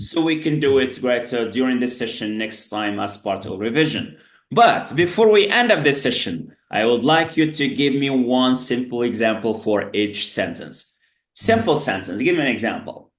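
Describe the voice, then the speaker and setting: A man at medium pitch and moderate pace, lively in intonation, with audible room echo. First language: Berber (Tamazight). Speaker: English teacher. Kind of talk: online tutoring lesson. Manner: filler-heavy, repeats "great" often.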